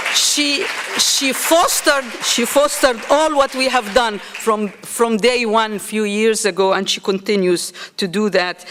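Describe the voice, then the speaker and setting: A woman talks fairly slowly with ordinary pitch variation while noticeable background noise carries on. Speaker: nursing school dean. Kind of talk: conference speech.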